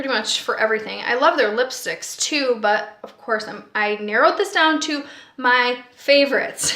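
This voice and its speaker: A woman speaks in a high pitch. There is noticeable background noise. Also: ordinary pitch variation, moderate pace, big swings in loudness. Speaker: beauty vlogger. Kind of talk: product review. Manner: casual, with filler words.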